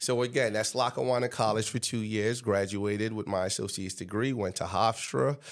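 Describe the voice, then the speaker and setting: Fairly quick and with hardly any pauses, a man with an American accent speaks in an unremarkable speaking voice, fairly low-pitched with ordinary pitch variation. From Trinidad and Tobago, then Staten Island, New York from age about 11. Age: 30s. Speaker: high school football coach, former NFL player. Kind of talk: interview.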